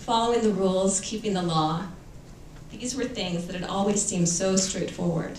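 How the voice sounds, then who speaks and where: A woman talks with an American accent and fairly even intonation. Noticeable background noise and audible room echo come through. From Los Angeles, US West Coast. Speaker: author. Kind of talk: reading aloud.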